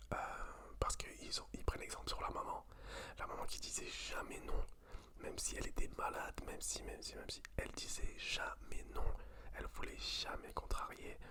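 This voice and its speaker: A moderately paced whisper over clearly audible background noise. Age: 20s. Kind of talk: ASMR talk to camera. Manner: whispered.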